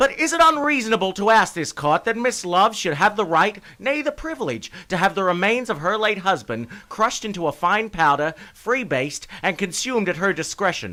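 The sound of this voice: Putting on a character voice, a man speaks high for a man in a bright, sharp tone, with big pitch swings, a moderate pace and few pauses.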